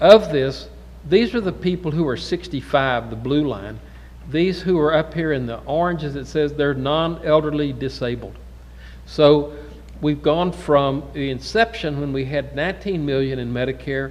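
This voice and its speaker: Speaking with an American accent at a moderate pace, a man is heard with audible room echo. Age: 60s. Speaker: physician lecturer. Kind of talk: lecture. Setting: conference symposium with audience. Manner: conversational.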